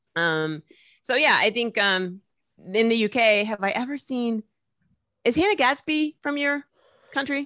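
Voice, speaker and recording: A woman with an American accent, fairly high pitch and a bright, sharp tone, lively intonation, long, frequent pauses, and a dry, close sound with no echo. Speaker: comedian and TV presenter. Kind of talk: casual interview chat. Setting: video call from home. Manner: fast talker.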